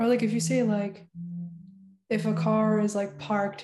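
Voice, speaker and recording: Somewhat breathy and dark, mellow in tone, a woman speaks at a medium pitch and a moderate pace. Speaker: college student. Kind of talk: casual chat.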